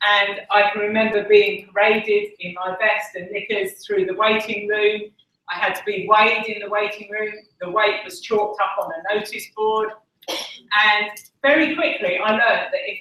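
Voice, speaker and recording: A fairly high-pitched woman with an Essex accent, moderate pace, ordinary pitch variation and big swings in loudness. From Essex, England. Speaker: conference speaker. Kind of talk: talk.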